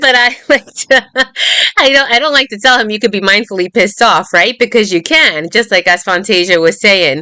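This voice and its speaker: With lively intonation and a fairly high pitch, a woman speaks over noticeable background noise. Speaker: meditation teacher. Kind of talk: casual chat. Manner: fast.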